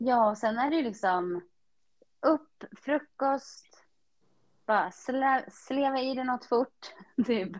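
With long, frequent pauses, the delivery is very slow, and the pitch varies in an ordinary way. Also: woman, high pitch for a woman. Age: 30s. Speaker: podcast co-host, HR worker and pilates studio owner. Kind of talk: casual chat.

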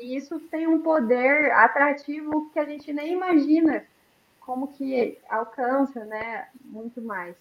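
Her high-pitched voice moves at a very slow pace as the woman speaks. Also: ordinary pitch variation, big swings in loudness. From Brazil, Campo Grande. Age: 30s. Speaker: nutrition student, guest on faith talk show. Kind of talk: casual chat.

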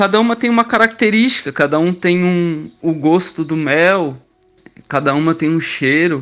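A man's high-pitched voice with lively intonation at a fairly slow pace. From southern Brazil, Criciúma, Santa Catarina. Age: 30s. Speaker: stingless beekeeper, traffic officer. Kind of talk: radio interview.

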